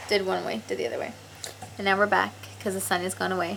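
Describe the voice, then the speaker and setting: A woman rattles off her words very fast, with noticeable background noise in the recording. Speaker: travel vlogger. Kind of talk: casual vlog narration. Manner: casual, chatty.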